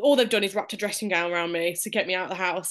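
Against a quiet background, a woman talks at a very fast pace at a medium pitch with ordinary pitch variation. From Birmingham, England. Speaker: new mother sharing birth story. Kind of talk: casual interview.

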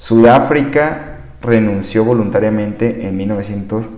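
A man speaks at a very slow pace with ordinary pitch variation. There is audible room echo and noticeable background noise. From Sinaloa, Mexico. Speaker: podcast host. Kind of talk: reading aloud. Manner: casual, filler-heavy.

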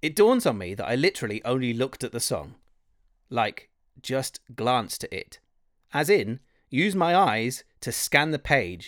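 At a moderate pace and medium pitch, a man with a slight Welsh accent swings his pitch very widely and leaves long, frequent pauses, on a very clean recording with a silent background. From Wales. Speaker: podcast host. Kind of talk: casual interview chat.

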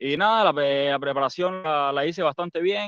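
With a normal speaking voice, a man of fairly high pitch talks at a moderate pace with ordinary pitch variation, in a dry, close sound with no echo over a quiet background. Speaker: amateur runner. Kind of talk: casual chat. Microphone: speaking through a borrowed phone.

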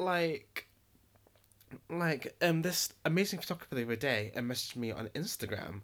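A man with an East Midlands accent speaks in an animated tone at a moderate pace, captured in a very clean recording with a silent background. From England, Nottingham. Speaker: actor and podcast host. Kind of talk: solo monologue podcast. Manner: animated, frequent laughter.

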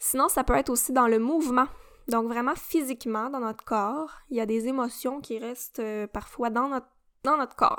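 A woman in a Quebec accent, high-pitched, with fairly even intonation and a moderate pace, on a very clean recording with a silent background. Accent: Québécois French. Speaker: podcast host, mindset coach. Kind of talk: casual solo talk.

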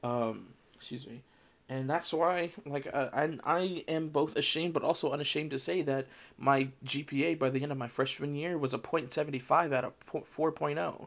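An unremarkable speaking voice from a man with an American accent, fairly high in pitch, ordinary pitch variation and a moderate pace, on a very clean recording with a silent background. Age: 20s. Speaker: podcast co-host. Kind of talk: casual chat.

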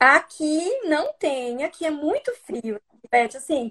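The sound is dry and close, with no echo. The intonation rises and falls in a lively way. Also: woman. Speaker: Brazilian immigrant in Canada. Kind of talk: casual chat.

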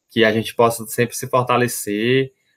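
Fairly quick in pace, a man with a medium pitch speaks in a plain, everyday voice. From Fortaleza, Ceará, Brazil. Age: 20s. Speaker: actor and community arts educator. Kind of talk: casual interview chat.

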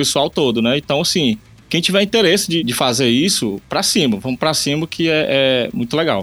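There is music in the background as a man talks at a fairly quick pace. His fairly high voice carries lively intonation. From Ceará, Brazil (Eusébio, near Fortaleza). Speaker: musician. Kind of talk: casual interview.

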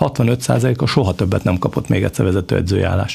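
A man with a dark, mellow tone and vocal fry talks at a moderate pace with ordinary pitch variation. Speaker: football club sporting director, former international player. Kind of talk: interview. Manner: halting, many repeated fillers.

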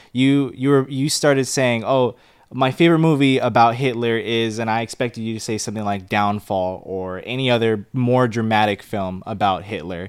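A man with an American accent, an ordinary speaking voice, talks at a moderate pace and a medium pitch with ordinary pitch variation and hardly any pauses. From Los Angeles, US. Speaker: film review podcast co-host. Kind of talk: casual chat.

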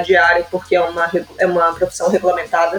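Noticeable background noise runs beneath a woman talking very fast. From Brazil, São Luís, Maranhão. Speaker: digital marketer and designer. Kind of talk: casual chat.

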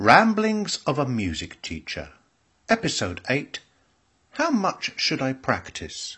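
A man with a British accent speaks at a very slow pace. He leaves long, frequent pauses. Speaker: music teacher. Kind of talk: scripted monologue.

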